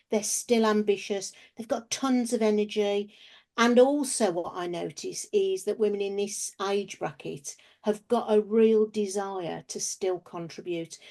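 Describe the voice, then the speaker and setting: A woman with an English accent speaks at a fairly slow pace in a fairly high pitch, her tone dark and mellow and her pitch variation ordinary. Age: 60s. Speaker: business founder and researcher. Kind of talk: interview.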